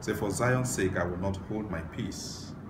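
The speech moves at a fairly slow pace, with noticeable background noise. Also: man. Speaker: preacher. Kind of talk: sermon scripture reading. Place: home room.

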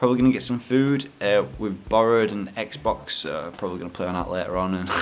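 A man talks with a Yorkshire accent and ordinary pitch variation. Music plays in the background. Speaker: gaming YouTuber and vlogger. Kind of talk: casual vlog. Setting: in a car. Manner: animated.

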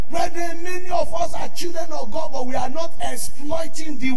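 Speech unfolds at a fairly slow pace with audible room echo. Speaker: preacher. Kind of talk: sermon. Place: church.

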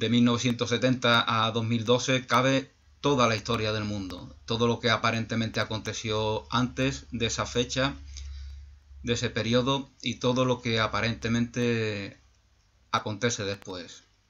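Fairly even intonation shapes a man's fairly slow speech. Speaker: YouTube channel host, spiritual speaker; YouTube channel host, speaker. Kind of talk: reflective monologue. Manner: halting, many repetitions and fillers. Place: home room. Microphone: webcam.

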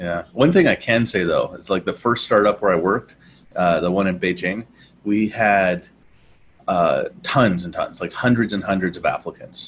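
The speaker has a normal speaking voice and talks at a fairly slow pace. Light background noise can be heard. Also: man. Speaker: podcast co-host. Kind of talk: casual conversation. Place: home room. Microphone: earbuds.

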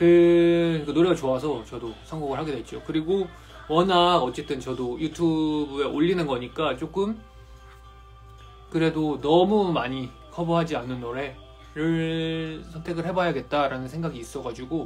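Music plays in the background as a man speaks at a fairly slow pace with ordinary pitch variation. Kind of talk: casual live-stream chat. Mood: warm, relaxed. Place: home room. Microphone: phone near.

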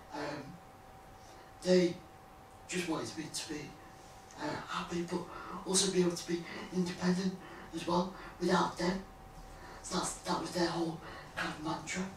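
A man talks at a moderate pace with long, frequent pauses. Audible room echo and light background noise sit behind him. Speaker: former Paralympic athlete and blogger. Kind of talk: interview conversation. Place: home room. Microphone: camera far.

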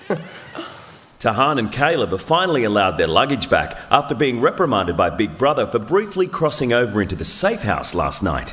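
With an Australian accent, a man speaks at a fairly quick pace and medium pitch with very wide pitch swings over noticeable background noise. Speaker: TV narrator. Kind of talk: scripted narration.

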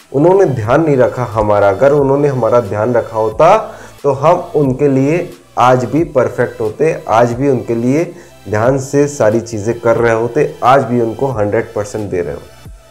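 Faint music plays behind a man who speaks at a fairly slow pace with ordinary pitch variation. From Madhya Pradesh, India. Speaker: motivational speaker. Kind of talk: motivational talk to camera. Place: home room. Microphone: lapel.

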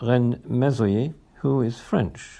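A man speaks with a British accent. His tone is dark and mellow, with ordinary pitch variation. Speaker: poet reading own work. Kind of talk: poet reading own humorous verse aloud. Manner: playful, lightly comic, rhythmic sing-song delivery.

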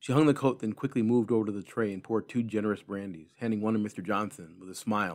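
What we hear is a natural reading voice. The intonation remains fairly even throughout.

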